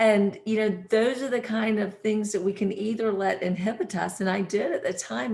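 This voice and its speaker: Moving at a moderate pace, a woman with a Southern US accent speaks at medium pitch with fairly even intonation. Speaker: real estate professional, panelist. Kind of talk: panel discussion.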